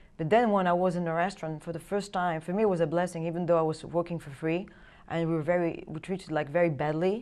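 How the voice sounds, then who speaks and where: A woman's very fast speech in a French accent, fairly low in pitch with fairly even intonation. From France. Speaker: trafficking survivor and film producer. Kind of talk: interview testimony. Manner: halting.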